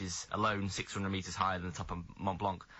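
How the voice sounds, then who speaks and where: A man's very deep, low voice, very fast and flat in a monotone. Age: young. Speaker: adventurer. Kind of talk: radio interview answer. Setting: radio studio. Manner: stammer.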